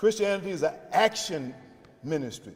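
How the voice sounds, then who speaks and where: Speaking in a South Carolina accent, a man uses a high pitch with ordinary pitch variation. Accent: US Southern (South Carolina). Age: 70s. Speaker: pastor and faith leader. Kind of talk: press conference remarks. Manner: preacherly, emphatic.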